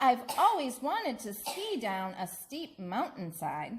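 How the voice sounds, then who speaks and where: A woman performs a put-on character voice. It sits high in pitch and makes very wide pitch swings. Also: fairly slow pace. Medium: read story. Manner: wondering, innocent.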